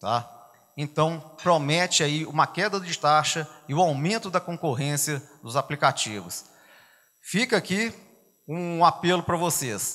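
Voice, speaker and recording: Fairly slow speech from a man with a fairly high pitch, ordinary pitch variation and a bright, sharp tone, over a quiet background. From Belo Horizonte, Minas Gerais, Brazil. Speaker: business association leader; guest. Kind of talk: conference talk. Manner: conversational. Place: hall. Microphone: handheld.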